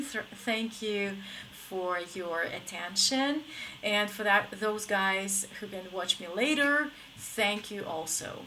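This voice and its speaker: In an American accent, a woman with a fairly high pitch speaks very slowly with lively intonation, and audible room echo surrounds her. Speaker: English teacher. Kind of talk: live stream lesson. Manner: casual, filler-heavy.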